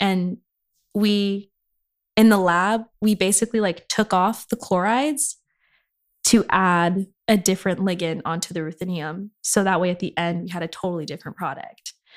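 A woman with an American accent speaks at a medium pitch and a moderate pace, her intonation fairly even. The sound is dry and close with no echo, and the recording is very clean with a silent background. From Inland Empire, Southern California. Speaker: chemistry graduate, aspiring medical student. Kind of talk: casual interview chat. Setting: in-person podcast recording. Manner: casual, filler-heavy.

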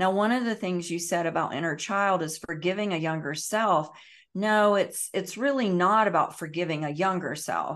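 A woman talks at a medium pitch in a plain, everyday voice. The background is quiet. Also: ordinary pitch variation, moderate pace. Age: 50s. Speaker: emotional healing educator and meditation teacher. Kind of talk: podcast interview.

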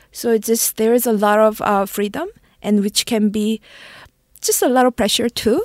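A woman with a Korean accent speaks with fairly even intonation and very even loudness, in a very clean recording with a silent background and a dry, close sound with no echo. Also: fairly high pitch for a woman, moderate pace. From South Korea. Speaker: marketing executive. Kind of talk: interview. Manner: halting.

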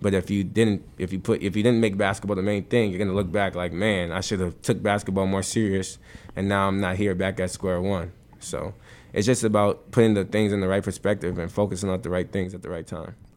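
A man with an American accent, fairly low in pitch, in a monotone, flat intonation. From New Jersey. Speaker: basketball coach. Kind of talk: casual interview.

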